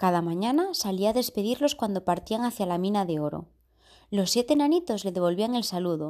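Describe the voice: A plain read-aloud, its intonation lively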